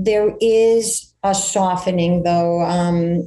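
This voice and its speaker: Speaking in an American accent, a woman has a medium pitch with ordinary variation. Her tone is dark and mellow, somewhat breathy. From Connecticut, raised from childhood after emigrating from Greece. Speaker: real estate agent. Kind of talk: radio interview. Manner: hesitant, many fillers.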